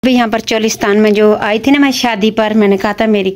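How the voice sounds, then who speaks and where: The intonation is monotone and flat. A woman delivers her words at a moderate pace. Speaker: family vlogger. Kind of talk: casual vlog chat. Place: home room. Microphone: phone near.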